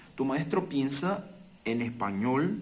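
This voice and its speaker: A man speaks very slowly. There is audible echo from the room. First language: Portuguese (speaking Spanish). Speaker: language teacher. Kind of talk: casual talk to camera. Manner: halting.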